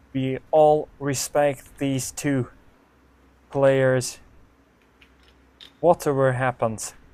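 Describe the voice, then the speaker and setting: A man with a non-native accent speaks at a medium pitch and a very slow pace, in a monotone, flat intonation. Long, frequent pauses break up his speech. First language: not English. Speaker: snooker commentator. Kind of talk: live commentary. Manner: non-native, some hesitation.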